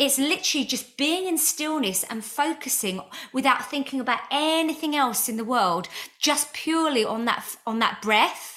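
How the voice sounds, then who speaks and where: Noticeable background noise sits behind a woman's high voice. Her tone is animated, and her intonation is lively. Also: moderate pace. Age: 40s. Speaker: podcast host and spiritual healer. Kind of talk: casual interview chat.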